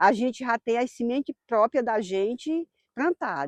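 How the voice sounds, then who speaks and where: A woman's dark, mellow voice with very wide pitch swings, dry and close with no echo. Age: 60s. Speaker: farmer. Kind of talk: documentary interview. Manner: casual, frequent tag questions.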